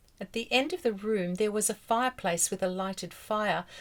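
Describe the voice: Ordinary pitch variation in plain reading aloud.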